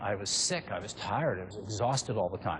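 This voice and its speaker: Somewhat breathy speech at a fairly quick pace. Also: man. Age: 60s. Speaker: diet and exercise researcher. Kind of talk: seminar talk.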